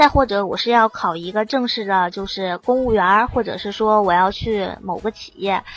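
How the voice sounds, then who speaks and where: With music playing in the background, a woman speaks at a moderate pace. Her pitch is medium, with ordinary variation. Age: 20s. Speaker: app founder, former journalist. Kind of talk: casual chat.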